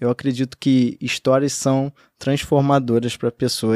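A man with a normal speaking voice and a fairly high pitch talks at a moderate pace, recorded very cleanly against a silent background with a dry, close sound and no echo. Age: 20s. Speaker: entrepreneur. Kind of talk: podcast interview.

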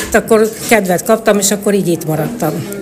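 A woman talks at a moderate pace with fairly even intonation, and noticeable background noise runs underneath. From Hungary, Tolna county (Szálka). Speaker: choir member. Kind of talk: interview.

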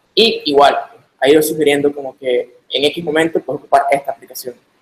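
At a moderate pace, a man talks with a fairly high pitch. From Nicaragua. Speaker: software developer. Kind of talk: technical talk in video call.

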